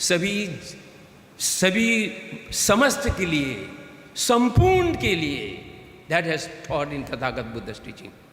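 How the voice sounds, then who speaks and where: A man speaks with a Tibetan accent, his voice high and swinging very widely in pitch. He talks very slowly with long, frequent pauses, over noticeable background noise and audible room echo. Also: big swings in loudness. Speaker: Tibetan political leader, guest speaker. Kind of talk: conference speech. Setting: stage with audience. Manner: halting.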